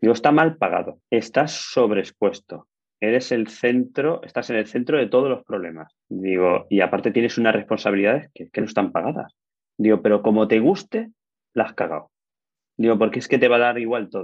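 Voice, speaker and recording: A man with a normal speaking voice talks at a fairly quick pace, his medium pitch rising and falling in an ordinary way. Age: 40s. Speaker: building engineer and construction manager. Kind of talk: casual interview.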